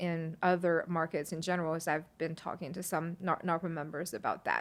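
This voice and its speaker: Fairly low in pitch, a woman speaks with a Chinese accent. The recording is very clean, with a silent background. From China, moved to Kentucky at twelve. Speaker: property management company owner. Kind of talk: podcast interview. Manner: hesitant, many fillers.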